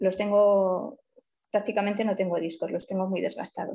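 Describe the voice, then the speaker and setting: Dark and mellow in tone, a woman's voice sits at medium pitch with ordinary pitch variation. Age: 50s. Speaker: client in a weight-loss case study. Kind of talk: consultation interview.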